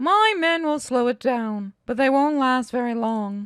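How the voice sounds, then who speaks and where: A female-sounding, high-pitched put-on character voice speaks at a fairly slow pace. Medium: read story. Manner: measured, self-assured.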